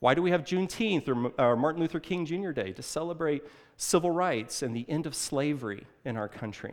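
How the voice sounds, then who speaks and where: An ordinary speaking voice from a man with an American accent, fairly high in pitch, with lively intonation at a fairly quick pace. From Illinois (southern, near St. Louis). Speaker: pastor. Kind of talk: sermon.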